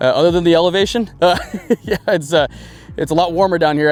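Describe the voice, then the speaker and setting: With an American accent, a man talks while noticeable noise fills the background. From US Midwest, Iowa. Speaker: college football coach. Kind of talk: interview. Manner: halting, many fillers.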